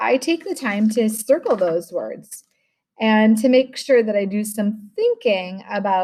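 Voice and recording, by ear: A natural voice reads aloud. Nothing much stirs in the quiet background.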